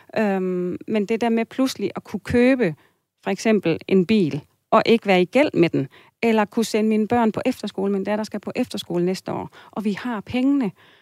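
A woman speaks at a moderate pace with a fairly high pitch and ordinary pitch variation, in an unremarkable speaking voice. The recording is very clean with a silent background and a dry, close sound with no echo. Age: 40s. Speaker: listener seeking financial advice, family counselor. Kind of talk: advice radio conversation. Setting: radio studio.

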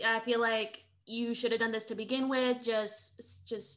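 A woman's bright, sharp tone, fairly high in pitch, at a fairly slow pace. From Philippines, immigrant to US. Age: 20s. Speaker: social media creator and streamer. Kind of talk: casual chat.

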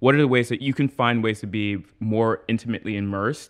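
A man with an ordinary speaking voice talks at a fairly quick pace and medium pitch. The background is quiet. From US Northeast, Trenton, New Jersey. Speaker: journalist. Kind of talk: casual chat.

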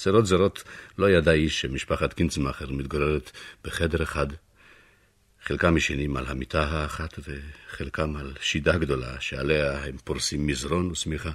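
On a very clean recording with a silent background, a man with a very deep, low voice and vocal fry speaks with fairly even intonation. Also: fairly slow pace.

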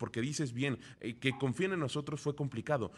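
In a very clean recording with a silent background, a man talks at a moderate pace with vocal fry. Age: 30s. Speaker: radio business news host. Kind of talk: radio news and interview.

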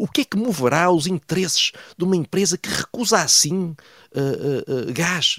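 Recorded dry and close with no echo, a man with a high pitch speaks with lively intonation. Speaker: political commentator. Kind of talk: radio commentary segment. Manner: hesitant, many fillers.

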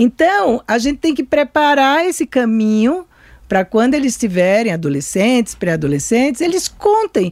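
A woman's high voice with very wide pitch swings and very even loudness, at a moderate pace, in a dry, close sound with no echo. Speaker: psychoanalyst. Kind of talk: interview.

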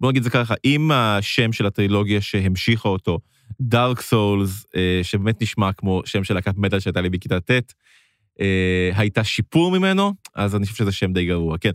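Speaking at a fairly quick pace, a man with a fairly low pitch has an ordinary speaking voice and ordinary pitch variation. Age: 30s. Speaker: gaming podcast co-host. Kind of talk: casual chat. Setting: studio.

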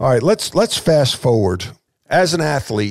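Speaking in a New York accent, a man keeps a medium pitch. His pitch swings very widely. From Long Island, New York. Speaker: podcast host, former basketball coach. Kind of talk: interview.

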